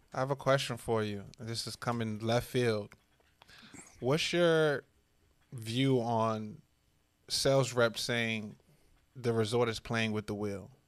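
A man's medium-pitched voice at a very slow pace, with long, frequent pauses. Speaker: co-host. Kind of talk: casual interview chat. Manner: upbeat, animated.

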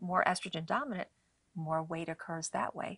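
In a quiet background, a woman with an unremarkable speaking voice talks at a moderate pace and a fairly low pitch with ordinary pitch variation. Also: dry, close sound with no echo. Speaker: natural medicine doctor and author. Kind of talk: interview on a faith-based show.

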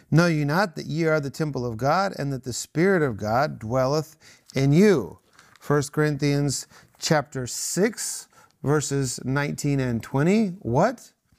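Here a man speaks at a fairly slow pace in a fairly high pitch, with ordinary pitch variation. It is an ordinary speaking voice, recorded very cleanly over a silent background. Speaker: Bible study host. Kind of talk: devotional teaching discussion. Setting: studio.

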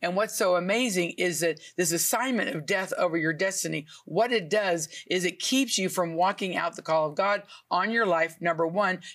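A woman's plain, everyday voice at a medium pitch and moderate pace, with ordinary pitch variation, very even loudness and hardly any pauses. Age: 60s. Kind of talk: TV talk show interview.

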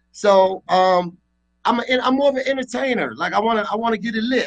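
With an American accent, a man speaks at a fairly quick pace in a high pitch. His pitch varies in an ordinary way. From Washington, D.C. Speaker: musician and business owner. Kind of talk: casual radio interview. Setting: radio show.

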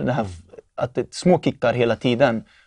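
Man with an unremarkable speaking voice, medium pitch, ordinary pitch variation, moderate pace, dry, close sound with no echo. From Norrköping, Sweden. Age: 20s. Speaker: testimony giver. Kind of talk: testimony.

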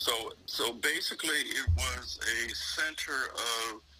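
A man is talking, and noticeable background noise can be heard in the recording. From Richmond, Virginia, US. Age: 60s. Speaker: community leader and recording artist. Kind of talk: interview.

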